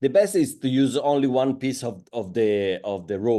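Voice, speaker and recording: A man with an Italian accent and a dark, mellow tone speaks fairly slowly against a quiet background. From Italy, Florence. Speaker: chef and tech support. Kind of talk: casual chat. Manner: halting.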